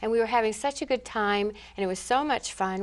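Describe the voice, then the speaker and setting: In a very clean recording with a silent background, a woman with an ordinary speaking voice and a fairly high pitch talks at a fairly quick pace with ordinary pitch variation. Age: 60s. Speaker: school assistant principal. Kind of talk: interview answer.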